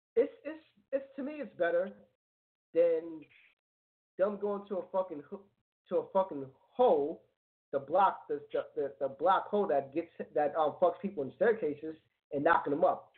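With a high pitch and lively intonation, a man talks at a moderate pace, leaving long, frequent pauses. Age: 30s. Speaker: internet radio co-host. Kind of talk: casual chat.

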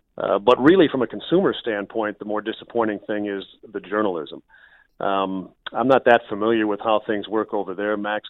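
With an American accent, a man with an unremarkable speaking voice talks at a moderate pace, his fairly low pitch following fairly even intonation. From Minnesota, US Midwest. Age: 50s. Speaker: radio play-by-play broadcaster. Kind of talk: casual interview.

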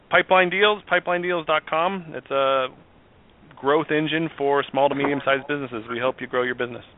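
A man speaks at a fairly quick pace, his pitch fairly high for a man. His pitch moves in an ordinary way, with noticeable noise behind him. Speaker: business executive. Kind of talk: radio interview. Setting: radio studio. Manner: fast.

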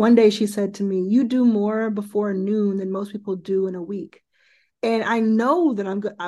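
A woman with an American accent has a plain, everyday voice at a medium pitch. She keeps a moderate pace and fairly even intonation. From Dallas, Texas. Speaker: venture investor and founder. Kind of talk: interview.

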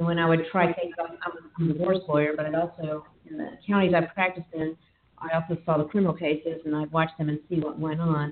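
A woman speaks in a Texas accent. Her pitch is fairly low. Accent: Texas Southern US. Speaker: podcast host and divorce attorney. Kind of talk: casual podcast chat.

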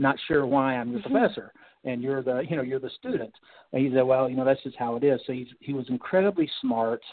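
Speaking at a very fast pace with an American accent, a man uses medium pitch and ordinary pitch variation. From North Carolina. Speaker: retired naval officer. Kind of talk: radio interview.

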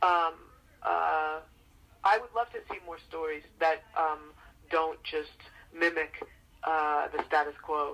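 A woman with an American accent and a very deep, low pitch, speaking very slowly with long, frequent pauses, big swings in loudness and fairly even intonation. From New York City (Queens). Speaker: foundation executive director and activist. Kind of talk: interview. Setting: radio show.

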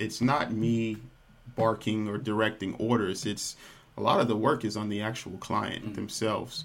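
Noticeable background noise surrounds a man speaking at a medium pitch with an American accent. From Texas, Dallas. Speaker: nutrition practitioner and yoga instructor. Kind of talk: interview.

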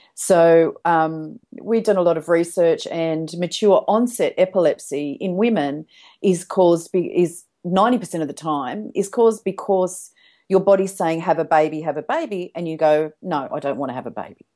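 A woman speaks with an Australian accent and ordinary pitch variation. Her tone is dark and mellow, and the background is quiet. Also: fairly low pitch for a woman, moderate pace. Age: 60s. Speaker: hypnotherapist. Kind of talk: interview.

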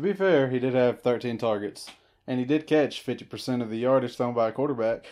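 A man speaks in an unremarkable speaking voice at a moderate pace. His pitch sits in the medium range, with ordinary variation. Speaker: co-host of fantasy football podcast. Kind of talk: casual banter. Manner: joking, laughs often.

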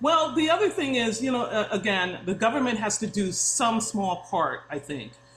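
Over noticeable background noise, a woman speaks at a moderate pace. Her fairly high pitch moves in very wide swings. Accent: American. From New York, Long Island. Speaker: interior designer. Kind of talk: casual interview.

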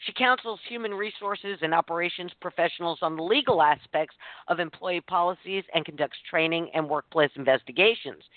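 Speaking at a fairly quick pace, a woman with an unremarkable speaking voice uses a fairly low pitch and ordinary pitch variation. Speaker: co-host and producer. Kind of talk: radio talk show banter.

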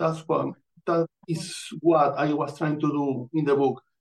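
With a Venezuelan accent, a man talks at a fairly slow pace. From Venezuela, Amazonas. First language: Spanish. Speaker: author and astrologer. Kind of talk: casual interview.

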